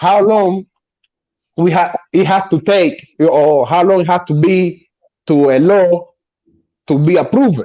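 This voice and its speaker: In a Spanish accent, a man speaks at a fairly slow pace with long, frequent pauses and very even loudness. His voice is high with ordinary pitch variation and a dark, mellow tone. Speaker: guest. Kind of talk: casual chat. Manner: halting.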